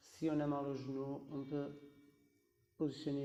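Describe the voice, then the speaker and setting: Over audible room echo, a man with a dark, mellow tone and a fairly high pitch talks at a very slow pace in monotone, flat intonation. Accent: non-native. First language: not French (speaking French). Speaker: yoga teacher. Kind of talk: guided yoga class. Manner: halting, with hesitations; calm, instructive.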